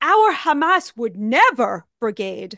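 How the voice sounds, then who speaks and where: With a high pitch and very wide pitch swings, a woman speaks in a dry sound with no echo against a quiet background. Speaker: writer giving commentary. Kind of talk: political commentary. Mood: earnest, indignant. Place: home room. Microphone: studio mic.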